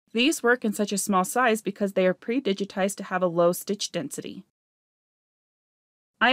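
A woman's medium-pitched voice with ordinary pitch variation, dry and close with no echo, on a very clean recording with a silent background. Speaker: embroidery digitizing teacher. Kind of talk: software tutorial narration. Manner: fast-talking.

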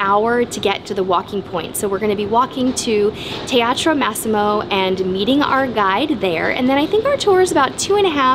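The pace is moderate. A woman talks over noticeable background noise. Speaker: travel vlogger. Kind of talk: casual vlog chat. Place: boat. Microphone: phone near.

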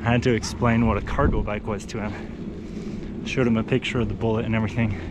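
Noticeable background noise behind a man's voice, the sound dry with no echo. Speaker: bike commuter vlogger. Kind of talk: casual vlog chat. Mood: amused, smiling storyteller. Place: bicycle. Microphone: phone near.

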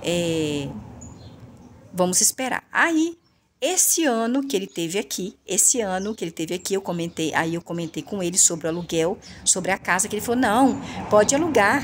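A woman's lively intonation at a moderate pace, with long, frequent pauses and light background noise. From Brazil. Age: 40s. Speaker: online video creator and thrift shop seller; home vlogger. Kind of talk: casual monologue to viewers; casual vlog chat. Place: home room. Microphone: phone near.

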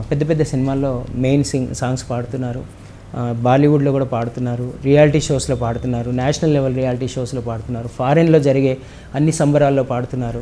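A man speaks at a medium pitch with monotone, flat intonation. Light background noise is present. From Telangana, Medak district; Telangana, India. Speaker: singer and music teacher; music teacher. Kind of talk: interview. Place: home room. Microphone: lapel.

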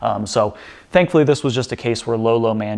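Fairly low in pitch, a man speaks in a normal speaking voice with fairly even intonation. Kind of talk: casual recap commentary. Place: workshop.

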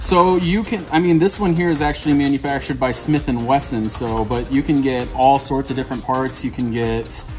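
With clear music behind him, a man talks with hardly any pauses and ordinary pitch variation. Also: moderate pace. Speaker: gun shop sales staff. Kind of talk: product demonstration explanation. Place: shop.

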